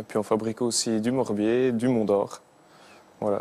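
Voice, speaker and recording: Speaking at a moderate pace in a Franche-Comté accent, a man uses a fairly low, dark and mellow voice with monotone, flat intonation. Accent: pronounced Haut-Doubs regional French. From Haut-Doubs, Franche-Comté, eastern France. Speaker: singer, former cheesemaker. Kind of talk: TV talk show interview answer. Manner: hesitant, casual.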